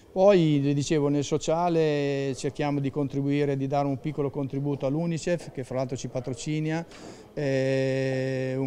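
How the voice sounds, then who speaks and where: Speaking at a moderate pace, the man has a fairly high pitch. His intonation is monotone and flat. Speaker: race event organizer. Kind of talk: interview. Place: hall.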